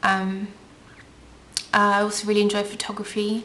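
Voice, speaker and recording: Fairly slow pace from a woman amid noticeable background noise. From England (from age eight; born Russian, lived in Ukraine). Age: 20s. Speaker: beauty vlogger. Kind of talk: casual Q&A vlog. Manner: chatty, many filler ums.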